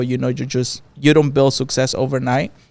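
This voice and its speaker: Speaking in a Mexican accent, a man keeps a moderate pace at a medium pitch. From Mexico. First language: Spanish. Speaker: barbershop owner. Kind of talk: podcast interview.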